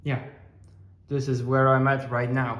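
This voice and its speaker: A man speaks with a Dutch accent in a somewhat breathy voice at a medium pitch. Audible room echo can be heard. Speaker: aquarium hobbyist vlogger. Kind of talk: casual video update. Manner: hesitant, many fillers.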